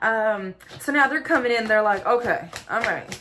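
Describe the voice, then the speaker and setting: Over noticeable background noise, a woman talks in an animated tone with a fairly high pitch. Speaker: tarot card reader. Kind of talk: tarot reading monologue. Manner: fast.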